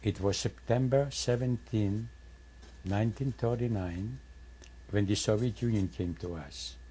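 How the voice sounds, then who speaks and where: A man with a fairly low, dark, mellow and somewhat breathy voice, lively in intonation, at a fairly slow pace with long, frequent pauses. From Poland. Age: 80s+. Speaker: Holocaust survivor. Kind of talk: testimony.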